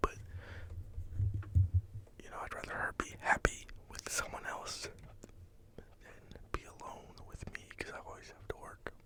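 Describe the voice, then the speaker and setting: Whispering at a moderate pace in a relaxed tone, with long, frequent pauses and noticeable background noise. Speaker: ASMR creator. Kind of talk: whispered ramble to camera, ASMR. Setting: home microphone recording. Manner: whispered, relaxed.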